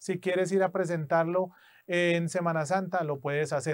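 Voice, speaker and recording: Against a quiet background, a man talks in a high voice with fairly even intonation. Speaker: English test instructor. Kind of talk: tutorial; personal anecdote. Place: studio.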